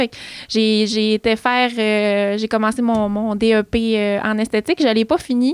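In a Quebec accent, a woman with a fairly high pitch speaks fairly slowly and with fairly even intonation on a very clean recording with a silent background. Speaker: beauty entrepreneur. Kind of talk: casual chat.

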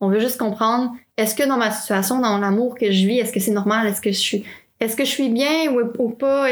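Talking at a very fast pace with very even loudness, a woman with a Quebec accent has a fairly high pitch. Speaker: podcast host. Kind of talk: interview.

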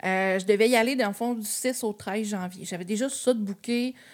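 In a very clean recording with a silent background, a woman has an unremarkable speaking voice of medium pitch and ordinary pitch variation. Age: 20s. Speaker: travel agency owner. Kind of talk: casual chat.

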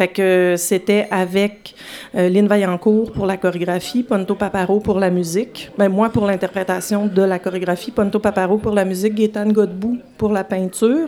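Over noticeable background noise, a woman speaks at a medium pitch with fairly even intonation and very even loudness. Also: moderate pace. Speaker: filmmaker and dancer. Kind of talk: interview. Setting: live show before audience in a bar.

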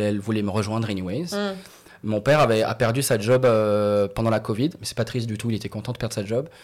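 This man talks at a very fast pace. His medium-pitched voice has ordinary pitch variation. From Morocco. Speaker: comedian. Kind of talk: casual chat.

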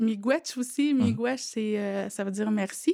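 A woman talks at a fairly high pitch. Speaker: student and mother. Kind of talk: testimony.

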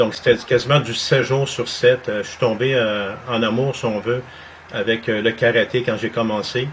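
Over noticeable background noise, a man at a medium pitch speaks at a fairly slow pace with monotone, flat intonation. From Montreal, Quebec. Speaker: martial arts instructor. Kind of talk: interview.

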